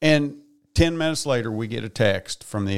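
An unremarkable speaking voice from a man at a fairly quick pace, with ordinary pitch variation and a very clean, silent background. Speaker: auctioneer guest. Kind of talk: casual chat.

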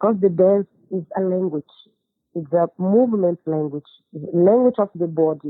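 Her voice has a slightly husky edge and lively intonation as a woman speaks at a moderate pace, with a dry, close sound and no echo.

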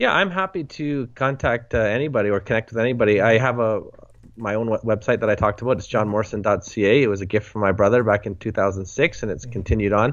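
A man with a Canadian accent talks at a very fast pace in a medium pitch, with ordinary pitch variation. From Western Canada. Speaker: author and blogger, church leader. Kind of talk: interview.

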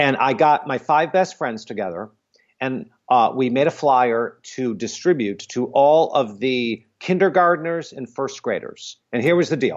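A man with an American accent speaks at a fairly slow pace, his pitch fairly high. He has a plain, everyday voice with lively intonation. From US Midwest (suburban Detroit, Michigan). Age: 50s. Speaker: theater producer. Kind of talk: interview.

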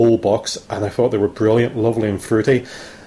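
A very fast man's voice at medium pitch, with a Northern Irish accent. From Northern Ireland. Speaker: listener voicemail caller. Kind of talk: voicemail message.

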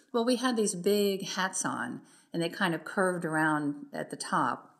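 Here a woman speaks in an American accent at medium pitch. Her intonation is lively. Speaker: former dancer and journalist. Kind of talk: interview. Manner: halting.

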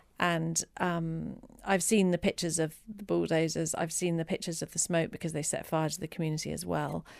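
The speaker has an English accent and talks fairly quickly with hardly any pauses, in a flat monotone. The recording is very clean, with a silent background. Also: woman, fairly low pitch for a woman. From England. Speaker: cookbook author and charity worker. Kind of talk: interview.

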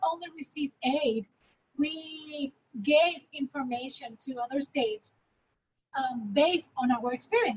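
With a Puerto Rican accent, a woman talks at a fairly slow pace in a high pitch with ordinary pitch variation, the sound dry and close with no echo. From Puerto Rico. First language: Spanish. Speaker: spinal cord injury advocate. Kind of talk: panel discussion.

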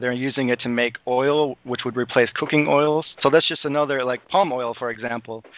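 With a normal speaking voice, a man talks at a moderate pace and medium pitch, keeping fairly even intonation and hardly any pauses. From US Midwest (Madison, Wisconsin). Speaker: algae aquaculture specialist. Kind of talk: interview.

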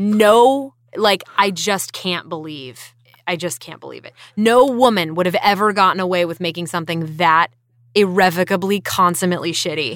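With an American accent, a woman speaks in an unremarkable speaking voice at medium pitch and a moderate pace, with ordinary pitch variation and big swings in loudness, in a very clean recording over a silent background. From rural North Carolina. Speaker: voice actor. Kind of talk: casual chat. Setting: recording booth.

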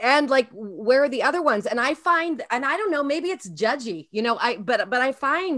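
A woman speaks in a high, bright and sharp voice, raised and projected. Her pitch swings very widely. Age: 50s. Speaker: early childhood educator. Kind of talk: casual chat. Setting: video call.

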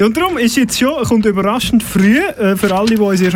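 With lively intonation and a fairly quick pace, a man talks through noticeable background noise. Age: 40s. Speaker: radio host. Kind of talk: casual chat. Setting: studio.

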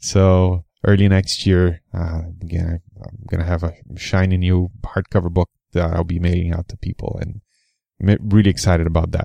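A man with a non-native accent speaks at a very deep, low pitch in a dark, mellow tone, his intonation monotone and flat. His moderate pace comes through with a dry, close sound with no echo against a quiet background. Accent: foreign-accented English. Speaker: podcast host and author. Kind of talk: interview answers, conversational. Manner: hesitant, with filler words.

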